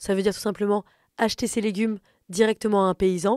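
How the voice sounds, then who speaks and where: Recorded very cleanly against a silent background, a woman talks very fast with a dry, close sound and no echo. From France, Paris. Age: 30s. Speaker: comedian. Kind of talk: casual interview.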